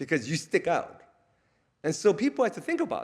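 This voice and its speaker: On a very clean recording with a silent background, a man talks at a fairly quick pace with vocal fry and very wide pitch swings. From Korea, moved to US at ten. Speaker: theology professor. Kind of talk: lecture. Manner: casual, halting with fillers.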